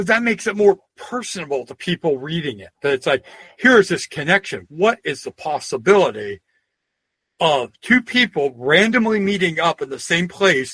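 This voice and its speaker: With a Pennsylvania accent, a man talks at a moderate pace in a high pitch, his bright, sharp tone swinging very widely in pitch and heavily in loudness, the sound dry and close with no echo. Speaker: historian and folklorist. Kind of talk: interview. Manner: casual, anecdotal.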